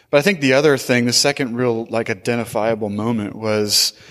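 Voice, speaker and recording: A man speaks with an American accent in an ordinary speaking voice. His pitch sits in the middle range, and his intonation stays fairly even. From US Pacific Northwest, Portland. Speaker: church planter, pastor. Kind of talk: interview.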